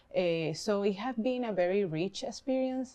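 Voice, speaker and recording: With a Spanish accent, a woman speaks at medium pitch with ordinary pitch variation. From Venezuela. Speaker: artist and dancer, immigrant panelist. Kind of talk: personal testimony. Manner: halting, many fillers.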